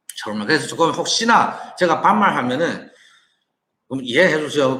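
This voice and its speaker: A man speaks with lively intonation and a bright, sharp tone. Audible room echo is present. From China. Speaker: online business owner and entrepreneur. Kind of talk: casual monologue to viewers, business talk. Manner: halting, with frequent repetitions and restarts.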